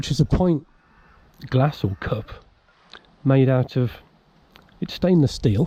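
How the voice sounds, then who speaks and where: A man speaks with a somewhat breathy, medium-pitched voice at a fairly slow pace. His pitch varies in an ordinary way, and he takes long, frequent pauses. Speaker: outdoors vlogger. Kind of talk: casual vlog narration. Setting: outdoors in woods.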